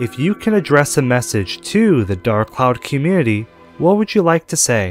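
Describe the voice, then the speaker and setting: Music plays behind a man talking at a medium pitch. His pitch swings very widely. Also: moderate pace. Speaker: channel host. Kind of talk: interviewer narration.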